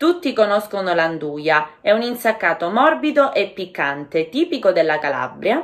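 The speech moves at a fairly slow pace. Its pitch rises and falls very widely. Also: woman, quiet background. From Calabria, Catanzaro. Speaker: Italian language teacher. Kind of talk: language-learning listening lesson narration.

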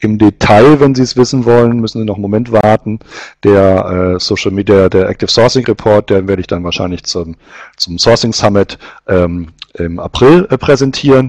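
A man with a fairly low pitch talks at a moderate pace with ordinary pitch variation, the sound dry with no echo and the background quiet. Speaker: webinar host presenting recruiting survey results. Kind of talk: webinar presentation. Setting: online webinar. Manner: hesitant, many filler sounds.

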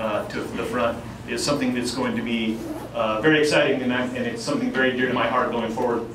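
Noticeable background noise and audible room echo around a man's voice. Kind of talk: informal presentation to audience. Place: bar.

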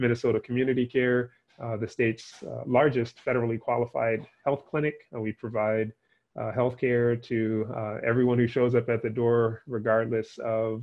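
A man's flat, monotone delivery at a moderate pace against a quiet background. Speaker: invited guest lecturer. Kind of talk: lecture. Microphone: headset.

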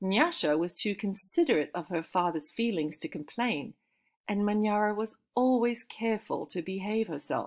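The text is read aloud in a natural voice with ordinary pitch variation. The background stays quiet.

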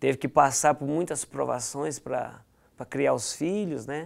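Against a quiet background, a man talks at a moderate pace with a fairly high pitch. He has an unremarkable speaking voice with lively intonation. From Goiás, Brazil (Goianésia); Goiás, Brazil. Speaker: former footballer; guest. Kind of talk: interview. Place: studio. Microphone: lapel.

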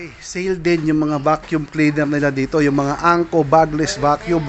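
A man speaks over light background noise. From Philippines. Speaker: vlogger; shopping vlogger. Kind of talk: shopping vlog walkthrough. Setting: in a surplus store. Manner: animated. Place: shop. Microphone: phone near.

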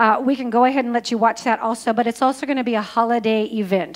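A woman speaks in a high pitch with fairly even intonation. The background is quiet. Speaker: church announcer. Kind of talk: church announcements. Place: church. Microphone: handheld.

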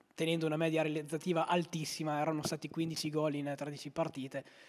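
The man speaks at a fairly quick pace. His pitch is fairly high. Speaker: sports commentator and interviewer. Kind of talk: live football commentary. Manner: fast, breathless play-by-play delivery; animated, rising on goals. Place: home room. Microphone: handheld.

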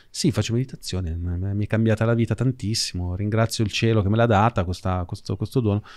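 Speech at a fairly quick pace over a quiet background. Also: man, fairly low pitch for a man. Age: 40s. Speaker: podcast host and financial educator; podcast host, financial educator. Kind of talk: conversational interview. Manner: casual, animated. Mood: casual, conversational. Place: studio. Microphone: studio mic.

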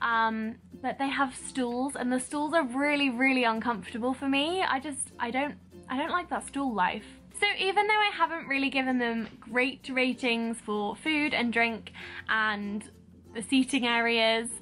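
Faint music plays behind a woman whose high-pitched voice shows ordinary pitch variation. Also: moderate pace. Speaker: vlogger. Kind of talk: casual vlog review chat. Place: home room. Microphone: phone near.

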